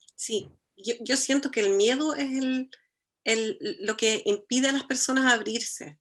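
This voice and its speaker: A speaker with a German accent talks at a fairly slow pace. The intonation is lively. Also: woman, high pitch for a woman. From Germany. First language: German (speaking Spanish). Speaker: architect, cultural foundation director. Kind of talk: conversation.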